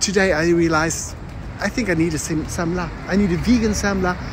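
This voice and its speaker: A man's voice with ordinary pitch variation, a dry sound with no echo and noticeable background noise. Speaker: vlogger. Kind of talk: casual vlog chat. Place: street. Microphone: phone near.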